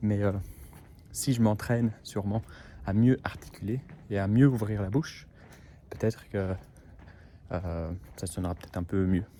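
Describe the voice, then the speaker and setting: Pausing long and often, a man with a dark, mellow tone speaks at a fairly slow pace with ordinary pitch variation. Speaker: au pair vlogger. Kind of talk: casual vlog monologue. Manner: under-articulated, mouth too closed; halting, many hesitations.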